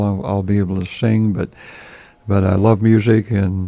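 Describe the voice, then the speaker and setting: Fairly even intonation from a man with a fairly low voice at a moderate pace. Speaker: musician and sound company owner. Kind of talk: radio interview. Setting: radio studio. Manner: halting, many fillers.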